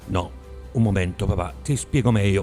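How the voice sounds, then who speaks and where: With music in the background, a man speaks in a fairly low pitch with lively intonation. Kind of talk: poetry reading.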